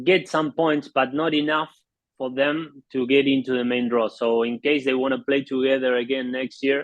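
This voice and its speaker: A man speaks at a moderate pace with an Argentine accent. His medium-pitched voice stays monotone and flat. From Argentina. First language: Spanish. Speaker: polo play-by-play announcer. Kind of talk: interview. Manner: halting.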